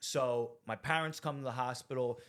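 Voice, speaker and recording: The speaker is a man with a medium pitch. He talks with a New Jersey accent. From New Jersey (Rahway). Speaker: recovering addict sharing his story. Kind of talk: testimony. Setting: studio. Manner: animated.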